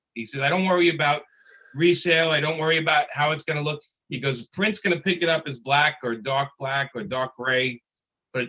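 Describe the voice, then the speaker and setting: A man's fairly high-pitched, bright, sharp voice in a Brooklyn accent, at a fairly quick pace. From Brooklyn, New York. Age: 50s. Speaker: comic book artist and writer. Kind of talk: panel discussion.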